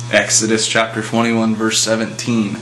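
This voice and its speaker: A man with a medium-pitched voice speaks at a moderate pace while noticeable noise sits in the background. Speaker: atheist commentator. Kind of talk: casual talk to camera, opinion commentary.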